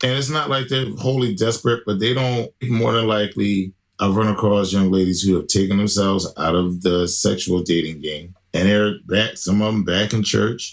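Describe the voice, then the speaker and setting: This is an unremarkable speaking voice at a moderate pace, with ordinary pitch variation and hardly any pauses. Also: man, fairly low pitch for a man. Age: 40s. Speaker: podcast guest discussing dating. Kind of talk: casual chat.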